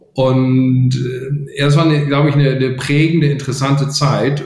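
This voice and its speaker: Somewhat breathy, a man speaks at a fairly slow pace in a medium pitch. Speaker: venture capital investor. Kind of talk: interview. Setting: video call. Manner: halting.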